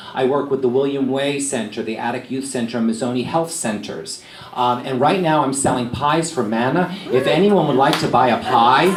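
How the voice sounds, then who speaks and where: A man with a New York accent speaks at a moderate pace and medium pitch, with ordinary pitch variation and hardly any pauses. Noticeable background noise and audible room echo fill the recording. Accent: New York accent, taken for Philly. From New York City, Staten Island. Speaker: TV news anchor. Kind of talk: after-lunch talk to a live audience. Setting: lunch event with a live audience. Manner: conversational, with ums and uhs.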